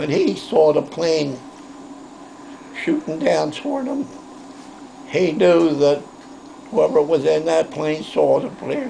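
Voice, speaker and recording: With noticeable background noise behind him, a man speaks at a very slow pace with long, frequent pauses. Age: 80s+. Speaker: war veteran. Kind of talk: interview answer.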